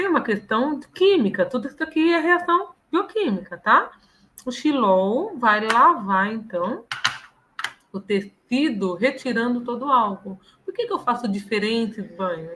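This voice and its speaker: Her fairly high voice swings very widely in pitch as this woman speaks at a fairly slow pace. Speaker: professor. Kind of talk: lecture. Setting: live online stream.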